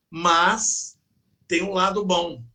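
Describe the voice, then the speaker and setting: A man speaks at a high pitch with a bright, sharp tone. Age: 60s. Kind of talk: casual chat.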